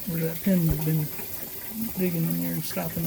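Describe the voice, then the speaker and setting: The voice belongs to a man. Noticeable background noise runs through the clip. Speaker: DIY home repairer. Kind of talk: casual how-to video. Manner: quiet, hushed.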